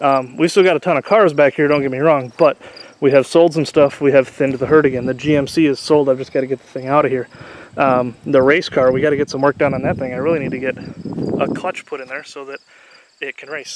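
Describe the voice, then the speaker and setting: Through noticeable background noise, a man with a fairly high pitch speaks at a very fast pace, with fairly even intonation but big swings in loudness. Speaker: car YouTuber, derby car builder. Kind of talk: casual vlog walkthrough. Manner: casual, filler-heavy.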